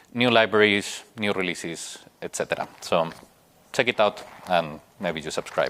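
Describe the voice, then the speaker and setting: A man with a Spanish accent talks at a moderate pace and fairly low pitch with ordinary pitch variation. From Spain. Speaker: software engineer, conference speaker. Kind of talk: conference talk. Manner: hesitant, many fillers.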